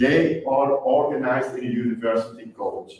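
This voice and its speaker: With a Flemish accent, a man talks amid audible room echo. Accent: Flemish Dutch accent in English. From Flanders, Belgium. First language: Dutch. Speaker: university policy advisor and chemistry lecturer. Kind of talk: lecture. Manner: halting.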